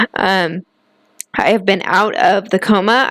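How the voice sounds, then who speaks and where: Recorded with a dry, close sound and no echo, a woman speaks at medium pitch. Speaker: vlogger with a chronic illness. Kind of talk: personal vlog testimony. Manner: hesitant, many fillers.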